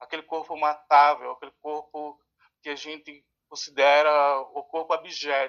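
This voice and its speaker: This man's voice is fairly high in pitch, with monotone, flat intonation at a fairly slow pace. His loudness swings widely. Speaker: social educator and harm reduction researcher. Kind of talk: interview.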